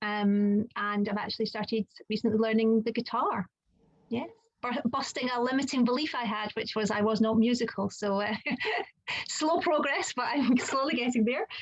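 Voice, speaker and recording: Moderate pace and ordinary pitch variation, in a Scottish accent. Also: woman, fairly high pitch for a woman. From Scotland. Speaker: children's occupational therapist and coach. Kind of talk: casual chat. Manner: hesitant, many fillers.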